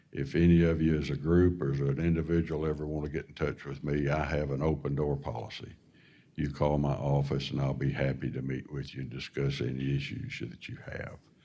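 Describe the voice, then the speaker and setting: Over audible room echo, a man with a very deep, low voice and a dark, mellow tone speaks fairly quickly in a flat monotone. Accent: American. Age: 70s. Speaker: government official and farmer. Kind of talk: town hall remarks. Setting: town hall forum. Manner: halting.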